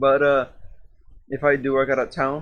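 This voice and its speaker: A medium-pitched man at a moderate pace. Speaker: podcast co-host. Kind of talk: casual chat. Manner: stuttering at times.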